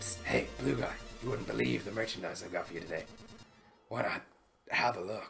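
Over faint background music, a man uses a put-on character voice with a very deep, low pitch at a fairly quick pace. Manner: sly, wheedling.

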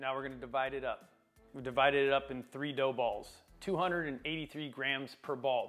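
Behind the voice, music plays faintly. The man keeps a moderate pace. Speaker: home cooking host. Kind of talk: tutorial. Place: kitchen. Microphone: lapel.

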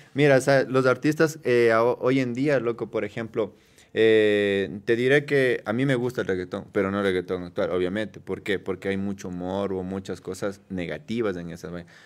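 Ordinary pitch variation marks this man's speech, which moves at a moderate pace. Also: fairly low pitch for a man. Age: 20s. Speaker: tattoo artist. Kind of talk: casual chat. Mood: relaxed, chatty. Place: studio. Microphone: studio mic.

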